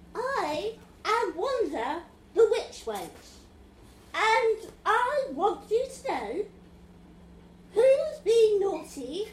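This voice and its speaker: A woman performs a put-on character voice at an extremely high pitch, with slight echo. She talks at a very slow pace with long, frequent pauses. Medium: stage play. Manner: theatrical.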